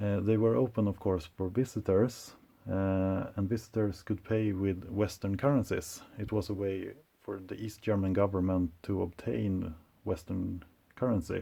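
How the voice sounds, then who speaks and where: With a non-native accent, a man speaks at a moderate pace in a fairly low, dark, mellow voice with ordinary pitch variation. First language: not English. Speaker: collector and video presenter. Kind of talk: show-and-tell presentation. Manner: hesitant, many uh fillers.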